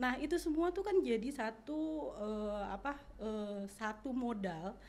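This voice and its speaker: Her voice is somewhat breathy and fairly high-pitched, and this woman speaks with lively intonation. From Jakarta, Betawi community. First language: Betawi Malay (speaking Indonesian). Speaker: language expert. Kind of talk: podcast interview.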